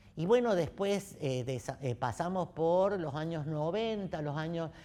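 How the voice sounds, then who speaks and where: Very slow in pace, a man talks at a fairly high pitch with lively intonation. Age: 70s. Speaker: theatre director and actor. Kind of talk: interview. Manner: halting.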